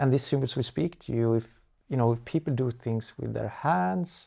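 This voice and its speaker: A man with a Swedish accent speaks at a fairly slow pace and a medium pitch, his tone dark and mellow. The recording is very clean with a silent background. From Sweden. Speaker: architecture advocate. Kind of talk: interview. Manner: halting, many fillers and repetitions.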